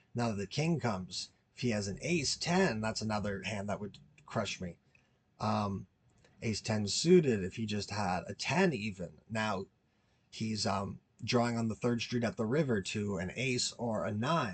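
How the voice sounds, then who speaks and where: Against a quiet background, a man with a fairly low, somewhat breathy voice speaks at a moderate pace with ordinary pitch variation. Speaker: poker player and video creator. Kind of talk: tutorial. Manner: halting.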